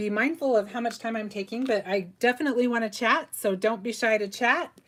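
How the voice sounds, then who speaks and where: Her voice is a fairly high-pitched woman's voice, moving at a moderate pace. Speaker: craft tutorial host. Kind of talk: live craft tutorial. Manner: casual, chatty with fillers.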